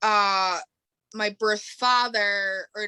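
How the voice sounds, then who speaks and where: Bright and sharp in tone, this voice has an American accent and a dry, close sound with no echo. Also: woman. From New York State, outside New York City. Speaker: podcast guest. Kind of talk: casual interview chat. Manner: casual, filler-heavy.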